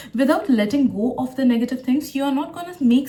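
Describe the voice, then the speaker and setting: Speaking at a fairly quick pace, a woman uses a high voice. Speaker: tarot reader and psychic. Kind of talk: tarot reading to camera. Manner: occasional stutter.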